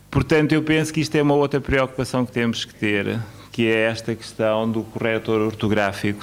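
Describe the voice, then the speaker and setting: Ordinary pitch variation marks a man speaking at medium pitch and a moderate pace. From Mozambique. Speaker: academic speaker at education conference. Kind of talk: conference speech. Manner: hesitant, many fillers.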